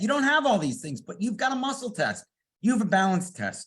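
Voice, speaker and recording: A man's animated, high-pitched voice with lively intonation. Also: very clean recording, silent background. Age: 60s. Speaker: product company representative. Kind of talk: sales pitch.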